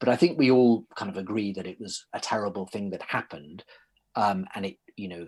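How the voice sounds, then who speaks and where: A man with a British accent, fairly low in pitch, at a fairly quick pace, with ordinary pitch variation and big swings in loudness. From Britain. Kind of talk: interview. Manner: hesitant, with frequent repetitions.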